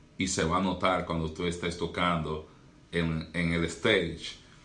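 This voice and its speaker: There is audible room echo as a man with a very deep, low pitch speaks at a fairly slow pace. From Dominican Republic. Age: young. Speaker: doctor and pastor. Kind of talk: podcast interview.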